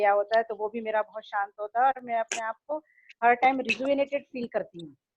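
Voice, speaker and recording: A woman with a fairly high voice speaks at a moderate pace with monotone, flat intonation, in a dry, close sound with no echo. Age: 60s. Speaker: dance student. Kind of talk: testimony.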